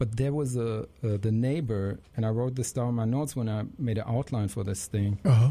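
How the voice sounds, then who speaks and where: Speaking at a moderate pace with a German accent, a man has a medium-pitched, somewhat breathy voice with a dark, mellow tone and ordinary pitch variation. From Germany. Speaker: jazz saxophonist. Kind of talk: interview. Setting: studio.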